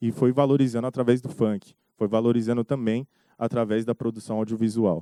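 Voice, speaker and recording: Speaking at a fairly quick pace, a man with a medium pitch and a dark, mellow tone keeps his intonation fairly even in a dry, close sound with no echo. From São Paulo city periphery, Brazil. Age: 20s. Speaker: documentary director. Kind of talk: festival panel discussion.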